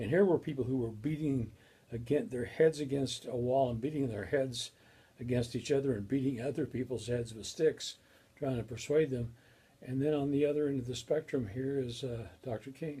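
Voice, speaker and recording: With an American accent, a man of medium pitch speaks at a moderate pace in a dark, mellow, somewhat breathy tone with fairly even intonation. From Colorado, US. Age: 60s. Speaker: professor. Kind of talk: lecture. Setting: recorded video. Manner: halting.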